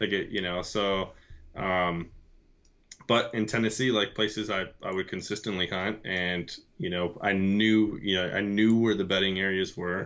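A man speaks in a flat monotone. His pitch sits fairly low. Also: moderate pace. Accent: American. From Michigan. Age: 30s. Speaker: bowhunter, Navy veteran. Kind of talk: casual chat.

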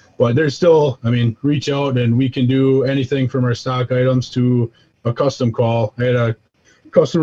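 Speaking with an American accent at a medium pitch, a man sounds somewhat breathy, with a dark, mellow tone and fairly even intonation. His pace is fairly quick, and the sound is dry and close with no echo. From US Midwest, south side of Milwaukee, Wisconsin. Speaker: custom turkey call maker. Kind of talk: casual interview.

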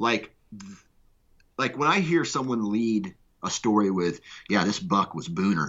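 A man with an American accent speaks fairly slowly in a fairly low voice. His pitch swings very widely, and he takes long, frequent pauses. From Iowa, US Midwest. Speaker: podcast network founder. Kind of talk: casual chat.

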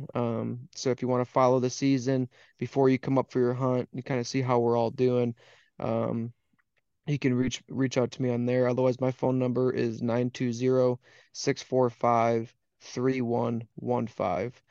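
In a dark, mellow tone with an American accent, the speaker talks at a moderate pace in a flat monotone, the sound dry and close with no echo against a quiet background. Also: man, medium pitch for a man. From Wisconsin. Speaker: waterfowl hunting guide. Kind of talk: casual chat.

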